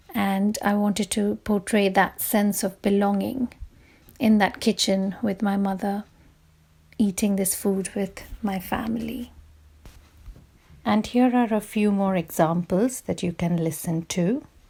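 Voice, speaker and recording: At a fairly slow pace with long, frequent pauses, a woman with a Bengali accent speaks in a dark, mellow, somewhat breathy tone, at medium pitch with fairly even intonation. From India. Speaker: writer leading a workshop. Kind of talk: workshop talk with poem reading.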